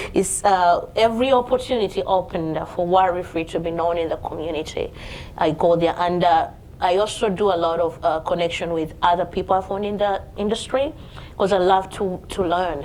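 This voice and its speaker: Here a woman speaks with a Ugandan accent at medium pitch. Her pace is moderate and her pitch variation ordinary. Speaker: home care business owner. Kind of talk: panel talk at networking event. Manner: lively, bubbly.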